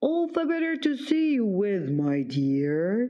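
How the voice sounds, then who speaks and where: This put-on character voice sits at a fairly high pitch, moving at a fairly slow pace with very wide pitch swings. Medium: read story. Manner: sly, deceitful.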